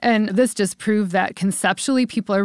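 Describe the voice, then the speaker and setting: In a Midwestern American accent, a woman talks at a fairly quick pace. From US Midwest, Cleveland, Ohio. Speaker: entrepreneur and event venue founder. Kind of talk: interview.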